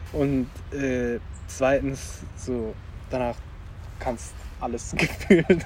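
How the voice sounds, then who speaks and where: Very slow speech from a man at medium pitch, lively intonation, long and frequent pauses, and noticeable background noise. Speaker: podcast host. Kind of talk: casual chat. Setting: outdoors.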